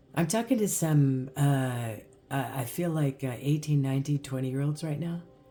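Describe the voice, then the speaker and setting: Music can be heard behind the voice. The delivery is at a moderate pace. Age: 60s. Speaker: spiritual guidance channel host. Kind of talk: inspirational spiritual monologue to camera. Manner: animated, conversational with fillers.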